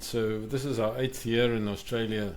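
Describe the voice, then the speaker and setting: With audible room echo, a man talks at a moderate pace in a South African accent. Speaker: podcast host. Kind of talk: casual chat.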